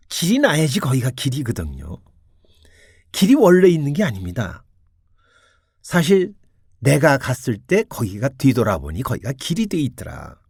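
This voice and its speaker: A man's fairly high, fry-tinged voice with very wide pitch swings, a moderate pace and long, frequent pauses, on a very clean recording with a silent background. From Korea, Seoul. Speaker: radio host giving Buddhist talks. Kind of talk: Buddhist dharma talk on radio.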